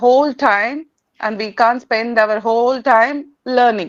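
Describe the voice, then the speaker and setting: Using fairly even intonation, a woman with a Tamil accent speaks at a high pitch and a fairly slow pace. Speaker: English learner and channel host. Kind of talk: conversation interview. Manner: halting, many hesitations.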